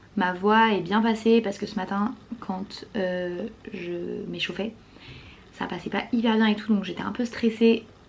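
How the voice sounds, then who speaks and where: Over noticeable background noise, a woman at medium pitch speaks fairly slowly in a flat, monotone way. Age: 20s. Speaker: vlogger and performer. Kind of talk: vlog.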